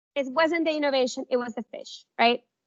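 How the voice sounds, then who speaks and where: The speaker has a non-native accent. Pitch varies in an ordinary way. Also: woman. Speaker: workshop presenter. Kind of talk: workshop presentation.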